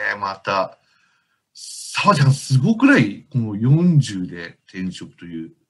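At a fairly slow pace, a man with a medium-pitched, somewhat breathy voice speaks with very wide pitch swings and big swings in loudness. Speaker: book editor co-host. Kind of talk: casual interview.

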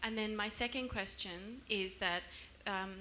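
A woman's bright, sharp voice at a moderate pace, with fairly even intonation and light background noise. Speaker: family member of the guest. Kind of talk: casual remarks at live event. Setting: stage with audience. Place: hall. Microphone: handheld.

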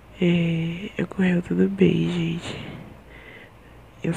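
A woman speaks very slowly at a fairly low pitch. Light background noise sits behind her. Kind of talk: casual vlog chat. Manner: weak, drowsy post-surgery voice. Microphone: earbuds.

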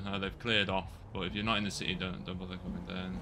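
A man's very deep, low voice with a bright, sharp tone and vocal fry, ordinary pitch variation and a very fast pace. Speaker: police roleplayer streamer. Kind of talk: radio dispatch-style pursuit commentary. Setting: online game roleplay, streamed. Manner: rapid, clipped, running commentary; animated, excited.

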